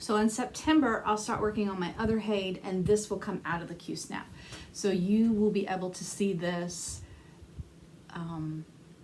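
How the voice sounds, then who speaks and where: At a moderate pace and medium pitch, a woman talks with ordinary pitch variation amid audible room echo. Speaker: cross stitch vlogger. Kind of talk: casual chat. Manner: soft-spoken; hesitant. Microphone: may be too quiet.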